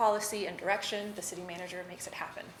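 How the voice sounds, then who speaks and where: A woman speaks at a fairly quick pace, her voice carrying audible room echo over noticeable background noise. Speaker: city staff presenter training board members. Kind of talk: training presentation. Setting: public board meeting. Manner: fast.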